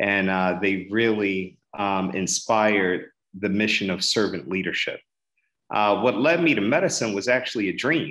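An ordinary speaking voice, this man's is fairly low in pitch with lively intonation. The recording is very clean, its background silent. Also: fairly slow pace. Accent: American. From Philadelphia, US. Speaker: urologic oncologist. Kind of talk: educational interview.

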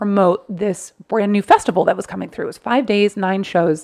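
A woman speaks fairly quickly with ordinary pitch variation over a quiet background. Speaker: stand-up comedian. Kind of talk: casual chat. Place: home room. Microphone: studio mic.

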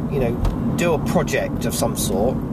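The speech moves at a very slow pace. The sound is dry with no echo, over loud background noise. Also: man. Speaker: vlogger. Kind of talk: casual vlog chat. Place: car. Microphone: phone near.

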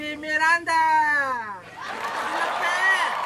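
Over crowd noise in the background, a woman uses a raised, projected voice. She speaks at a very slow pace. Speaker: vlogger host. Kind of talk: casual vlog chat, game hosting. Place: home room. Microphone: camera far.

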